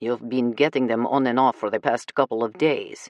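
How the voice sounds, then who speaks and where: A man growls in a put-on character voice at a medium pitch. He keeps a moderate pace and fairly even intonation. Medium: read story. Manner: gruff, curt.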